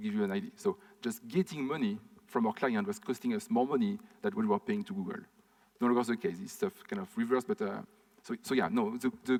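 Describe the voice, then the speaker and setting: A man talks very fast in a French accent, his pitch fairly high. The pitch swings very widely, and the sound is dry and close with no echo. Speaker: conference speaker, startup founder. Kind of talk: conference talk Q&A. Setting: stage with audience, recorded.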